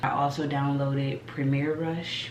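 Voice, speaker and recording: Noticeable background noise runs through the clip. Room echo is audible too. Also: woman. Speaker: vlogger. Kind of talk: casual vlog monologue. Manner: casual, conversational.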